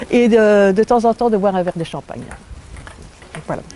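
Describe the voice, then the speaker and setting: A woman with a medium-pitched voice and ordinary pitch variation talks at a moderate pace against noticeable background noise. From Belgium. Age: 60s. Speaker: testimony giver at a health retreat. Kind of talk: testimony. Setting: retreat venue in southern France.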